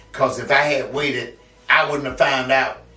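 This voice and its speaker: Over music in the background, a man with an American accent speaks at a moderate pace and medium pitch, with audible room echo. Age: 70s. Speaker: community figure and poet. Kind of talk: interview testimony. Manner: halting, repetitive.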